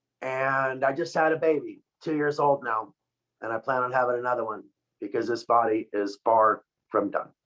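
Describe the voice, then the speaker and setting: At a moderate pace, the speaker uses a normal speaking voice with ordinary pitch variation. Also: man, medium pitch for a man. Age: 50s. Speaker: product formulator and company co-founder. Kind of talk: product presentation on a video call. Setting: video call.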